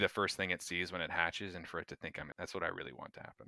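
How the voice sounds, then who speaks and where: A man with an American accent speaks in a bright, sharp tone, recorded very cleanly against a silent background with a dry, close sound and no echo. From North Florida, US. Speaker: neuroscience PhD graduate. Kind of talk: casual interview chat.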